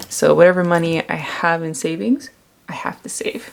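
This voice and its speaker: Noticeable background noise runs under the recording. A woman talks with an American accent. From US, Maryland. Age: 30s. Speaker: planner vlogger. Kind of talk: tutorial.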